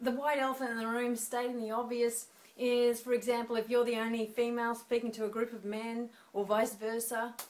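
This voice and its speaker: In an Australian accent, a woman speaks at a moderate pace. Her pitch is high. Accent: Australian, noticeable to Americans. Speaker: speaking coach. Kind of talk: tutorial. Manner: conversational.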